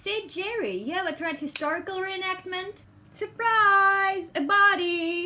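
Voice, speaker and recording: A woman with an extremely high pitch uses a raised, projected voice, speaking fairly slowly with fairly even intonation. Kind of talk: comedy monologue.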